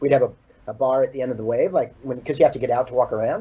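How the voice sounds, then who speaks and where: Very fast and somewhat breathy, this man has a dark, mellow tone, a medium pitch, ordinary pitch variation and an American accent. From California. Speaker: surfboard shaper. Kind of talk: casual chat.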